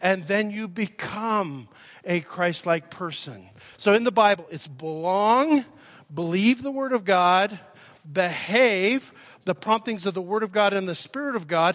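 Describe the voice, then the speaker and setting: A man with an American accent speaks at a fairly slow pace in a high pitch, his intonation lively. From Canada, Calgary. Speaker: pastor. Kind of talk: sermon. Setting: church.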